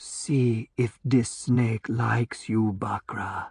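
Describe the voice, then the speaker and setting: A put-on character voice, low in pitch, at a very slow pace. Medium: read story. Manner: soft, mocking, unhurried.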